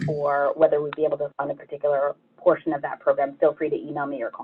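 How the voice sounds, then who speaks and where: A woman's very fast speech. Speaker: nonprofit grants staff presenter. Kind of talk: online info session presentation.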